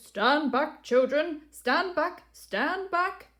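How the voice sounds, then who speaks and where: In a put-on character voice, the speaker moves at a very slow pace with lively intonation. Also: woman, high pitch for a woman. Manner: shouting, commanding.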